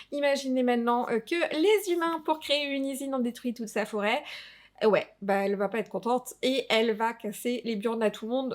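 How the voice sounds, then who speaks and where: Speaking with a fairly high pitch and ordinary pitch variation, a woman keeps a moderate pace. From Alsace, France. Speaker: tabletop RPG youtuber. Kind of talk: casual review vlog. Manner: hesitant, many fillers.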